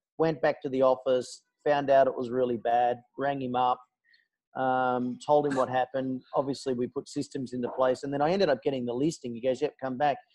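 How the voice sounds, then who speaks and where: In an Australian accent, a man with a medium-pitched voice talks at a fairly quick pace in a monotone, flat intonation. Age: 40s. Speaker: podcast co-host, real estate trainer. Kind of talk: interview. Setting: video call from a McDonald's. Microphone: internet via phone hotspot, technical problems.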